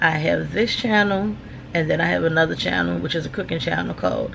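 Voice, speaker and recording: A woman with an American accent is heard over noticeable background noise and audible room echo. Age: 50s. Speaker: vlogger. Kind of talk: casual chat. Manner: casual, filler-heavy.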